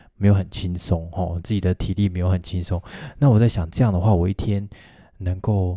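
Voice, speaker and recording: A man with a Taiwanese accent speaks in a very deep, low pitch with fairly even intonation, a somewhat breathy quality and a dark, mellow tone, recorded dry and close with no echo in a very clean recording with a silent background. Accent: Taiwanese Mandarin. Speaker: physical therapist podcast host. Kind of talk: solo podcast monologue. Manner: casual, many fillers.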